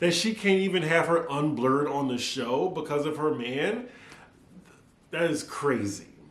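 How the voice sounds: A fairly high male voice in a slight New Orleans accent, with lively intonation over noticeable background noise.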